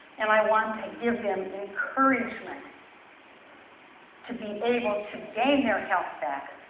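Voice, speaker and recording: Speaking fairly slowly, a woman with a fairly high pitch uses ordinary pitch variation and pauses long and often. Noticeable background noise and audible room echo surround her. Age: 60s. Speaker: weight loss testimonial speaker. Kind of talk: testimony. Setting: church with audience.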